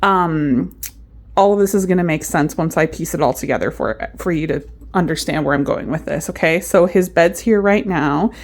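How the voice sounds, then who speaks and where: A woman speaks at a moderate pace with vocal fry and ordinary pitch variation. The recording is very clean, with a silent background. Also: fairly low pitch for a woman. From Canada. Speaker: vlogger. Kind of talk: casual vlog talk. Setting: at home. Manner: normal speaking voice, not whispering; hesitant, many fillers.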